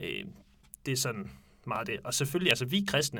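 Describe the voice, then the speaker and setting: The man has a medium pitch and a bright, sharp tone with vocal fry. His intonation is lively. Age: 20s. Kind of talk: casual discussion. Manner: hesitant, many fillers.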